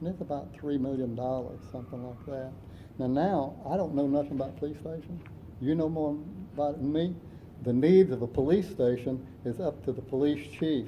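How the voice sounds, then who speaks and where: Amid audible room echo, a somewhat breathy man with an American accent speaks at a fairly quick pace in a fairly high pitch with ordinary pitch variation. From South Florida. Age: 70s. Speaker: city council candidate. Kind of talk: candidate forum answers.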